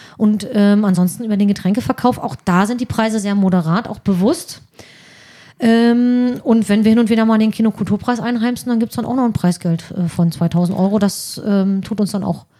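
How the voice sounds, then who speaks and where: A woman speaks with a dark, mellow tone and a somewhat breathy quality. Her pitch varies in an ordinary way. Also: medium pitch for a woman, moderate pace. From northeastern Germany (Mecklenburg-Vorpommern). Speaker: social worker, volunteer at a film club. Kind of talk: casual chat.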